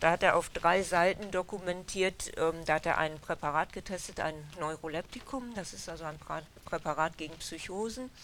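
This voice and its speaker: This woman has an unremarkable speaking voice, fairly low in pitch, with ordinary pitch variation. She talks at a moderate pace, and her loudness swings widely. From Germany, Westphalia (Dülmen). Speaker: historian researcher, author. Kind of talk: interview at a book event. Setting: bookshop with audience.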